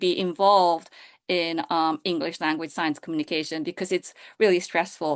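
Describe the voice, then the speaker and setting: A woman speaks with a Japanese accent at a moderate pace. Her pitch varies in an ordinary way, and the background is quiet. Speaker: science communication and public relations director. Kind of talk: panel discussion. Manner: halting, many fillers.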